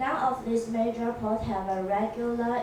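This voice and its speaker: Room echo and noticeable background noise surround a woman's voice. She speaks at a fairly slow pace with a fairly high pitch. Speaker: student presenter. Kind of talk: academic presentation. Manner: reading from notes.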